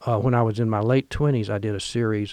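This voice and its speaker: With an American accent, a man with an ordinary speaking voice talks at a moderate pace in a fairly low pitch. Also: quiet background. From Missouri bootheel, US South. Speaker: painter. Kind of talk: relaxed interview conversation about art career.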